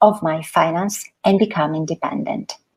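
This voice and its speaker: A woman speaks at a moderate pace. Her tone is dark and mellow, and somewhat breathy. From Italy. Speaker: financial coach. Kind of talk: talk to an audience.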